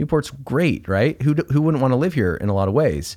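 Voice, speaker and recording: A man's plain, everyday voice, medium in pitch, with lively intonation and a fairly quick pace, on a very clean recording with a silent background. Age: 40s. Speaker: educator and parenting author. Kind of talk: casual interview chat.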